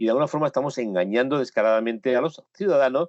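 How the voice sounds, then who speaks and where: A man with a medium pitch speaks at a very fast pace. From Spain. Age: 60s. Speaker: photojournalist. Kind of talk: interview. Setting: home studio, remote call. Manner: emphatic.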